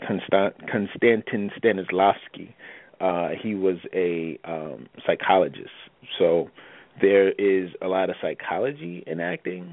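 Delivered at a fairly slow pace, the speech comes with an American accent. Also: man. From New Jersey. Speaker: actor. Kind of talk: casual interview.

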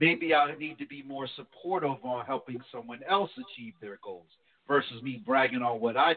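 This man has a plain, everyday voice. He talks at a moderate pace with a medium pitch. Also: ordinary pitch variation, big swings in loudness. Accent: American. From New Jersey. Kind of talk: casual chat.

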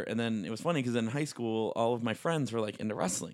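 A man's medium-pitched, fairly evenly intoned delivery, an ordinary speaking voice. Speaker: wrestling referee. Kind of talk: casual podcast interview. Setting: home recording.

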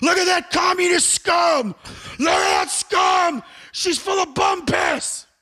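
Shouting in a put-on character voice, a man goes at a fairly slow pace with extremely high pitch. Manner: screaming, ranting.

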